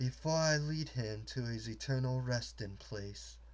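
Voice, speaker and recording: In a put-on character voice, a man speaks at a moderate pace. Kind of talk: storybook reading. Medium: read story. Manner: cutting, formal.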